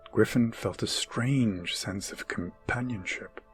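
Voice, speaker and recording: A man's medium-pitched voice, fairly slow, with music in the background. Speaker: storyteller. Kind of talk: ASMR bedtime story narration. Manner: whispered, soothing, calm.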